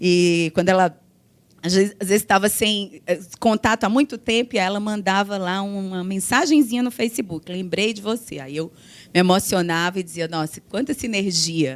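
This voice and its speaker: Here a woman speaks at a medium pitch with ordinary pitch variation. She keeps a moderate pace. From Brazil, Ceará. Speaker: law professor, panelist. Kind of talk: conference panel talk.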